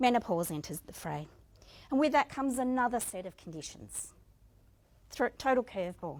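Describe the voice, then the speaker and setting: On a very clean recording with a silent background, a woman with an Australian accent speaks at a moderate pace in a fairly high pitch, with very wide pitch swings, big swings in loudness, and long, frequent pauses. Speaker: motivational speaker. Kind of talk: inspirational speech.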